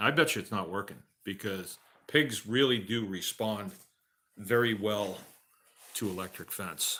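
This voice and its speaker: With a strong Massachusetts accent and a bright, sharp tone, the speaker goes at a fairly slow pace with long, frequent pauses and ordinary pitch variation, on a very clean recording with a silent background. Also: man, fairly low pitch for a man. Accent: Massachusetts accent, comes back strongly. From Massachusetts (Shrewsbury). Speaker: farmer. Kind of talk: live Q&A stream. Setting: at home by a wood stove. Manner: casual, conversational.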